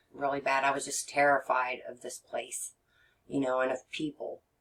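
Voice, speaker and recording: A woman's very deep, low voice with an American accent. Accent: Texan twang, slight, comes out when nervous. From Texas. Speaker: regression therapist. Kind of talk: podcast interview. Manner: halting, many fillers.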